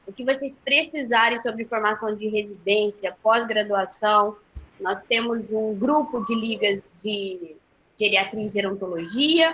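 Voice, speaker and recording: The voice is bright and sharp in tone, moving at a fairly slow pace with ordinary pitch variation. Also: woman. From Goiás, Brazil. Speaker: nursing professor. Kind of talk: webinar closing remarks. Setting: online live webinar.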